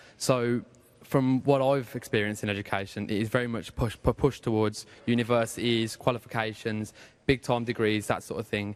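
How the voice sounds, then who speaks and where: A man speaks in a flat monotone at a medium pitch. The recording is very clean, with a silent background. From Birmingham, England. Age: 20s. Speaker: audience member. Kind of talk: audience question.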